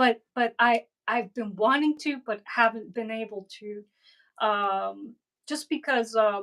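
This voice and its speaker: A woman speaks with a Cuban accent. Her pitch sits fairly high. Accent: Cuban-Spanish tinged. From Miami, Florida (Cuban family). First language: Spanglish (Spanish/English mix). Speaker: cigar box guitar builder and artist. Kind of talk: casual interview chat. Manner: halting, many fillers.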